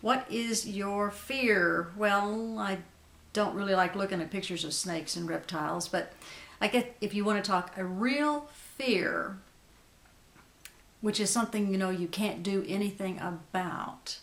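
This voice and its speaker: A woman's normal speaking voice at medium pitch, fairly slow, with ordinary pitch variation. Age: 60s. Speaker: beauty vlogger. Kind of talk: casual chat.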